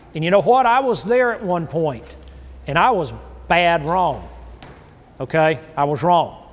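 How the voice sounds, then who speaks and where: With an American accent and lively intonation, a high-pitched man talks at a fairly slow pace, leaving long, frequent pauses amid audible room echo. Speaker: grazing and soil consultant. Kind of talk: workshop lecture.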